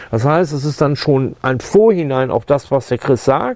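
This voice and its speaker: Ordinary in its pitch variation, a plain, everyday voice keeps to a moderate tempo. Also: man. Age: 60s. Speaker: sound engineer, foley artist. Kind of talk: tutorial. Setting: studio. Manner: casual, with fillers.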